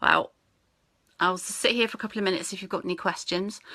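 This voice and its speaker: A woman speaks with a British accent in a bright, sharp tone. The recording is very clean, with a silent background. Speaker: network marketing team leader. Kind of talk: live-stream training talk. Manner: fast.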